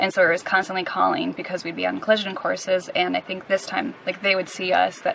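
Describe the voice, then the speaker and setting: Light background noise accompanies a woman speaking at a fairly quick pace, the sound dry with no echo. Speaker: sailing vlogger. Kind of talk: casual vlog chat. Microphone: camera far.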